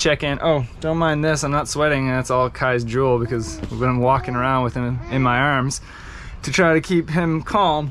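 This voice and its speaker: A man at a moderate pace, with ordinary pitch variation and light background noise. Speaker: sailing travel vlogger. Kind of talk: casual vlog chat. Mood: frustrated, annoyed. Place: waterside. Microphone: phone near.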